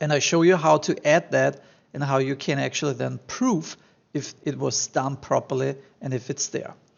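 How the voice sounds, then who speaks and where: A man speaks with a strong German accent. His pace is moderate. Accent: thick German. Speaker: online marketing tutor. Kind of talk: screen-share tutorial. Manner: casual, many fillers.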